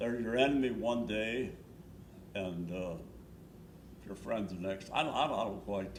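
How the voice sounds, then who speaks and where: Long, frequent pauses break up speech at a moderate pace, with ordinary pitch variation and audible room echo. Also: man, fairly low pitch for a man. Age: 90s. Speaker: war veteran. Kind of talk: oral history interview. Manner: halting, repetitive.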